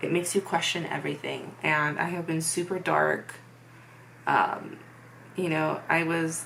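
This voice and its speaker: Speaking at a fairly slow pace, a woman leaves long, frequent pauses, with audible room echo around her voice. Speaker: vlogger. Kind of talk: personal testimony. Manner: monotone; hesitant, many fillers.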